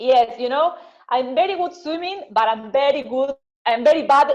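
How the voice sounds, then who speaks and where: Fairly slow pace and lively intonation. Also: woman. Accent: Spanish. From Argentina. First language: Spanish. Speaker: marathon swimmer. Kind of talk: interview. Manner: halting.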